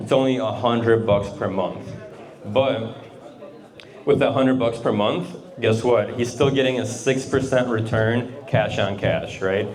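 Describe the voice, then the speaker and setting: The pace is fairly slow and the intonation fairly even. Room echo is audible along with noticeable background noise. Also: man, medium pitch for a man. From Russia. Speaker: real estate investor and accountant. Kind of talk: presentation to a group. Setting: garage talk with audience. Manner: casual, uses fillers.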